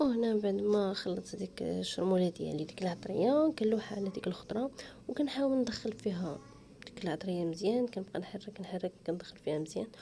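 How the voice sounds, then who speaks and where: With a Moroccan accent, a woman talks at a fairly quick pace in a medium pitch, her intonation lively. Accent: Moroccan Darija. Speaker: cooking channel host. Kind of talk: cooking tutorial.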